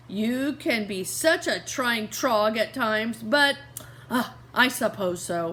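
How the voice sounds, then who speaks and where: Putting on a gruff character voice, a woman speaks fairly slowly at a fairly high pitch with lively intonation. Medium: read story. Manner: gruff, threatening.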